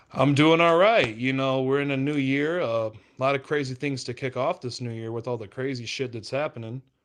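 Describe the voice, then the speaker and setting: A man with an American accent speaks at a fairly quick pace with hardly any pauses. His pitch variation is ordinary, and the background is quiet. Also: medium pitch for a man. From southern Illinois, St. Louis area. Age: 20s. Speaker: rapper. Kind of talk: casual podcast chat.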